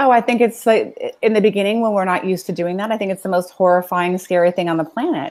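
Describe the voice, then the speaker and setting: A woman with a Californian accent and medium pitch talks at a very fast pace with hardly any pauses. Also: ordinary pitch variation. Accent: Californian American. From US West Coast (Los Angeles, San Fernando Valley). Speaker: self-help business executive and coach. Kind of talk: interview conversation.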